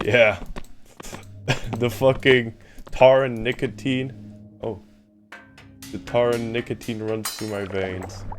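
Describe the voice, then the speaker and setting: A man at medium pitch speaks very slowly in a tired tone, with long, frequent pauses and fairly even intonation. His loudness swings widely, and music plays in the background. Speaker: gaming streamer. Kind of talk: casual chat. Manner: tired-sounding.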